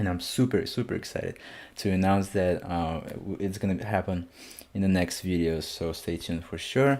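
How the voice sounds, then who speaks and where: A man with a non-native accent speaks in a very deep, low voice at a moderate pace. The recording is very clean, with a silent background. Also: ordinary pitch variation. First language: not English. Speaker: music reaction youtuber. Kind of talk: casual album reaction.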